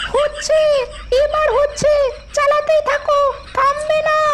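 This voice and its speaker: A woman speaks in a cartoonish character voice, pitched extremely high and moving fairly slowly. Noticeable background noise runs behind her. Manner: sarcastic.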